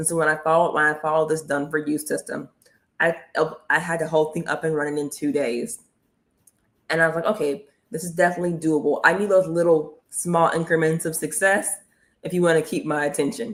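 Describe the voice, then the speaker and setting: Energetic and animated, a woman with an American accent talks at a very fast pace in a very deep, low pitch. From United States. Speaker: online business coach and livestream host. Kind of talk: motivational livestream talk.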